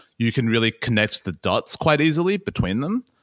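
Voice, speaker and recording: Recorded very cleanly with a silent background, a man with an Australian accent speaks at a fairly slow pace in a bright, sharp tone. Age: 30. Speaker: music journalist. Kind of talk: casual chat.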